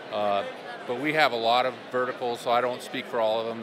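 A man speaks over loud background noise in a dry sound with no echo. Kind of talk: interview answer. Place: hall. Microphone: handheld.

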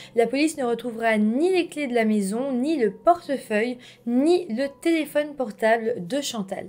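Her high pitch, ordinary pitch variation, moderate pace and calm tone mark this woman's voice. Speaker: true-crime YouTuber. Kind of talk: true-crime narration, scripted storytelling to camera. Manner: calm, measured, storyteller tone with friendly asides. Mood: serious, calm narration. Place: home room.

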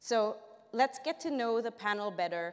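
Against a quiet background, a woman speaks with ordinary pitch variation. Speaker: panel moderator. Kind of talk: conference presentation. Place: stage.

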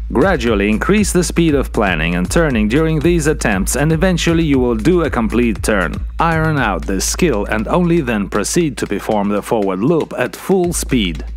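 A man at a moderate pace with hardly any pauses, dry sound with no echo, and faint music in the background. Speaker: windsurfing instructor. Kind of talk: tutorial. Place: studio. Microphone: lapel.

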